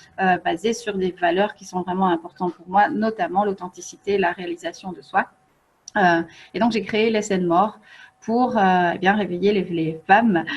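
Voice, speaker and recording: Using fairly even intonation at a moderate pace, a woman speaks at a medium pitch, somewhat breathy, with big swings in loudness. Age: 40s. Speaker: feng shui coach and author. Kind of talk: online workshop presentation. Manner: hesitant, many fillers.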